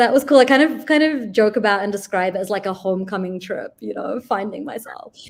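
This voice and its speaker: A woman with a New Zealand accent barely pauses, her lively intonation paired with big swings in loudness. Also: fairly high pitch for a woman, fairly quick pace. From New Zealand, Auckland. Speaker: diplomat. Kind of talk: interview chat. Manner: casual, many fillers.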